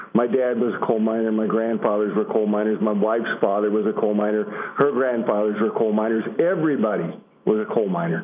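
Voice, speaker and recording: Over noticeable background noise, a man with an American accent talks at a very fast pace in a fairly low voice with fairly even intonation. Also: very even loudness. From Illinois. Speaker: advocate from mining family. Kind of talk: prepared speech.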